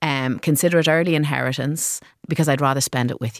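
A woman with an Irish accent speaks at a moderate pace in a very deep, low voice, on a very clean recording with a silent background. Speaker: social enterprise co-founder. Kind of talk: interview. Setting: studio.

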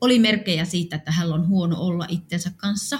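A woman's somewhat breathy voice, fairly low in pitch, at a moderate pace with fairly even intonation. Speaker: funeral home owner. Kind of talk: personal testimony.

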